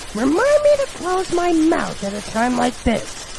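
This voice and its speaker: Over loud background noise, a woman uses a put-on character voice at an extremely high pitch and a moderate pace. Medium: fan dub.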